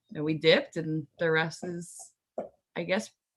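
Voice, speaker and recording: A woman speaks loudly at a very deep, low pitch with a bright, sharp tone. Her intonation is monotone and flat. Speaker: game show contestant. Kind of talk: casual chat.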